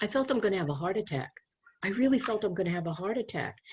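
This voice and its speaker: A woman speaks at a very fast pace with a medium pitch. Her voice is somewhat breathy, and her intonation is lively. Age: 70s. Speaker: abstinence educator and speaker. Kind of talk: casual chat. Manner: animated.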